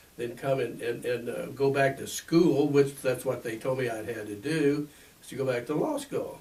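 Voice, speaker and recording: A man speaks at a moderate pace with a medium pitch and fairly even intonation, over noticeable background noise. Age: 80s+. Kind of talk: interview. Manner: halting, many fillers and repeats.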